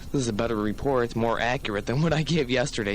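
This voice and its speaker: A man speaks in an ordinary speaking voice with an American accent. His medium pitch carries lively intonation. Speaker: college radio DJ. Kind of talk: college radio show host patter. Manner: casual, chatty, upbeat.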